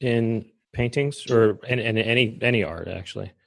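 With a quiet background, a plain, everyday voice talks at a moderate pace. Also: man. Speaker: podcast host. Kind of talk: interview.

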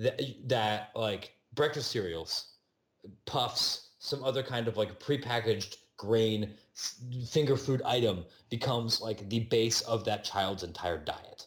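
A man speaks at a medium pitch and a fairly slow pace. His voice is somewhat breathy, with ordinary pitch variation. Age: 30s. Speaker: sports podcast host and editor. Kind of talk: casual chat. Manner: halting, many repetitions.

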